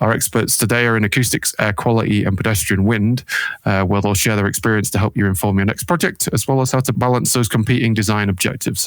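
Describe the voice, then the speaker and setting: Speaking at a very fast pace in a British accent, a man keeps fairly even intonation, very even loudness and a fairly low pitch. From UK. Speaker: acoustics consultant hosting a panel discussion. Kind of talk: video panel introduction. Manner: casual with frequent fillers.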